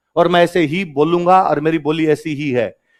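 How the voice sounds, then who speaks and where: A man talks at a moderate pace in a Rajasthani accent. His pitch sits high. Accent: Rajasthani village tinge in his Hindi. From Rajasthan, India (Marwari-speaking). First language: Marwari (Rajasthani) (speaking Hindi). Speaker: exam coaching teacher. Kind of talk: classroom lecture. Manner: animated.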